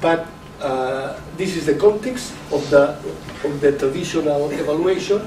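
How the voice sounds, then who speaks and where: Over noticeable background noise, a man with a Catalan accent talks at a moderate pace with ordinary pitch variation. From Catalonia. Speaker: professor and education official. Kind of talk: lecture. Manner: halting. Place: meeting room. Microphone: camera far.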